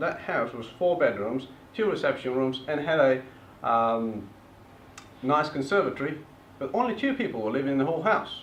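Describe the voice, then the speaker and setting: Room echo is audible as a man talks. His pitch is medium and his intonation lively. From eastern Bulgaria, Turkish family. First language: Turkish or Bulgarian. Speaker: property investor presenter. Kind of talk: seminar presentation.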